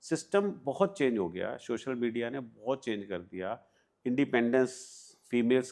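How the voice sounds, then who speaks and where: With an unremarkable speaking voice, a man talks at medium pitch with lively intonation. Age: 60s. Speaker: private investigator. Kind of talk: interview.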